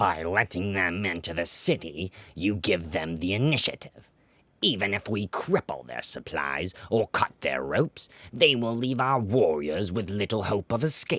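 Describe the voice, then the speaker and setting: In a put-on character voice, a man talks at a fairly low pitch. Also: moderate pace. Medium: read story. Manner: impatient, forceful.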